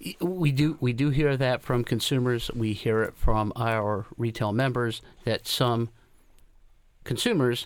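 A man with a normal speaking voice talks at a fairly slow pace in a medium pitch with fairly even intonation, captured in a very clean recording with a silent background. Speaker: retail industry representative. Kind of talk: radio interview.

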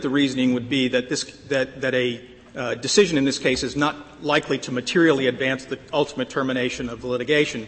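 Noticeable background noise sits behind a man. He talks at a very fast pace with a medium pitch. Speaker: lawyer arguing before the court. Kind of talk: appellate oral argument. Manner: halting, frequent repetitions.

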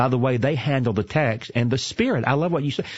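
Speaking with a Southern US accent, a man talks at a very fast pace with ordinary pitch variation. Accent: Southern American. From US South, Atlanta, Georgia. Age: 50s. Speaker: seminary president and preacher. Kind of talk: interview. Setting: studio.

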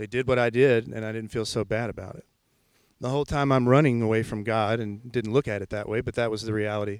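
Talking at a very fast pace in a Memphis accent, a man holds a medium pitch with monotone, flat intonation. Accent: Southern US (Memphis). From Memphis, Tennessee (US South). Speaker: church music leader. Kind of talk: testimony. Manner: halting.

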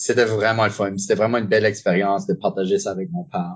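A man talks at a fairly quick pace with a medium pitch and ordinary pitch variation. He has an unremarkable speaking voice. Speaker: improviser and referee. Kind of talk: casual interview.

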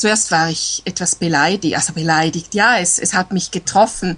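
A woman is speaking. She has a Swiss German accent. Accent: Swiss German accent, clearly audible. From eastern Switzerland, near Lake Constance. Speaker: language learner. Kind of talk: casual chat. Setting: Skype call.

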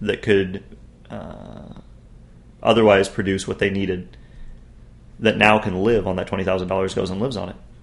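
At a moderate pace, a man speaks with a fairly low pitch. His intonation is monotone and flat. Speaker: podcast guest. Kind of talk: casual chat.

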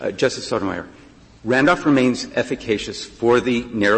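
A man with an unremarkable speaking voice, medium pitch, ordinary pitch variation and a moderate pace. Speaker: lawyer arguing before a court. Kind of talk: oral argument. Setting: courtroom.

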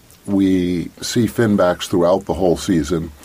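Noticeable background noise behind a man's very deep, low voice with fairly even intonation. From coastal Maine (Eastport), US. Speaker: whale watch naturalist. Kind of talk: radio interview. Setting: radio studio.

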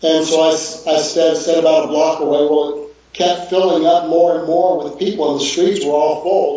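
Amid noticeable background noise and audible room echo, a man with an American accent speaks at a moderate pace and a fairly high pitch, his intonation monotone and flat. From Texas, Houston. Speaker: missionary. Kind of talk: video call interview.

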